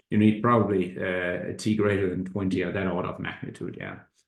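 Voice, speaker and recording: Audible room echo surrounds a man speaking very fast with fairly even intonation. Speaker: economics professor. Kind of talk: academic seminar talk. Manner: halting, many fillers and repetitions.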